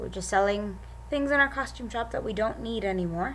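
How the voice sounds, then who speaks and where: A woman is speaking. The room echo is audible. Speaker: vlogger. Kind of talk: casual vlog. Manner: animated.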